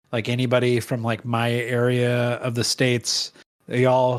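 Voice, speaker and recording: With a Midwestern American accent, a man speaks at a medium pitch. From US Midwest. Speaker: podcast co-host. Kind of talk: casual chat.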